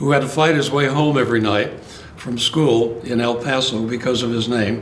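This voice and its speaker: A man's fairly even delivery amid noticeable background noise and audible room echo. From Los Angeles, California. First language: Spanish. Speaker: retired judge. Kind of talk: oral history interview. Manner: halting.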